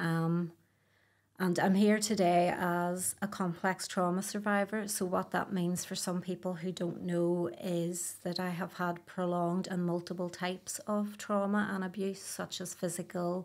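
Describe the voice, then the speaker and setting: Speaking in a Belfast accent at a fairly slow pace, a woman keeps a medium pitch and a monotone, flat intonation. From Northern Ireland, Belfast. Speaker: abuse survivor. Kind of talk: testimony.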